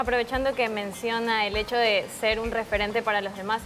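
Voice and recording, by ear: Music plays clearly in the background as a woman talks at a fairly quick pace. Her voice is fairly high, with fairly even intonation.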